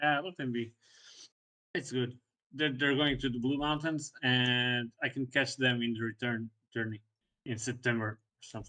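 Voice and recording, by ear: A man talks at a moderate pace with a medium pitch, a bright, sharp tone and little pitch movement.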